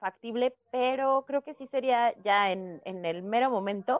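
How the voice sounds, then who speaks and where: A woman speaks in a normal speaking voice, fairly high in pitch with lively intonation. The sound is dry and close, with no echo. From Estado de México, Coacalco. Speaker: comedian. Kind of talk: casual chat.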